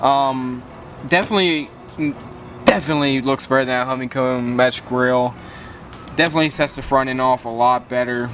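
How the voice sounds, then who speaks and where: Over noticeable background noise, a man speaks at a fairly quick pace and medium pitch, with fairly even intonation and long, frequent pauses. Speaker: car enthusiast YouTuber. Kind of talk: casual vlog tutorial. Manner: halting, many fillers.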